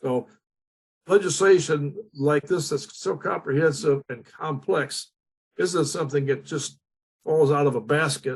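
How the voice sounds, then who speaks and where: Spoken at a moderate pace with an American accent. The voice is somewhat breathy, and the intonation stays fairly even. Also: man. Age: 80s+. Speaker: state legislator. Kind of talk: panel discussion. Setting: online forum. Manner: halting.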